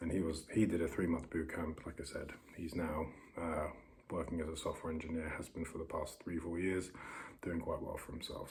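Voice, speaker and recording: A man speaks quietly with a British accent. His pace is fairly quick. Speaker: vlogger. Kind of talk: casual vlog monologue. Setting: bedroom on holiday. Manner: halting. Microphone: poor audio.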